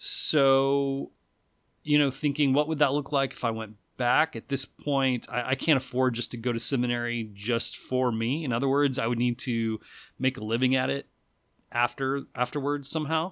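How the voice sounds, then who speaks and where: On a very clean recording with a silent background, a man speaks at medium pitch and a moderate pace with fairly even intonation. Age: 40s. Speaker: podcast host. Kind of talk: solo monologue update. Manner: casual, halting with fillers.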